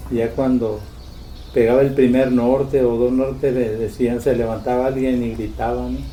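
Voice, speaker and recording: A man's medium-pitched, monotone, flat delivery with audible room echo. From Loreto, Baja California Sur, Mexico. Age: 70s. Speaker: retired fisherman. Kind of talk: interview.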